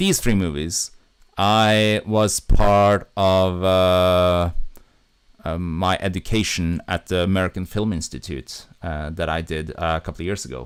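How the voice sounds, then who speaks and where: A man with a Norwegian accent speaks in a very deep, low pitch at a fairly slow pace. His intonation is fairly even, and the recording is very clean with a silent background. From Norway. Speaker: YouTuber and film director. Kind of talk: casual livestream chat. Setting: livestream from home. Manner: halting, many fillers.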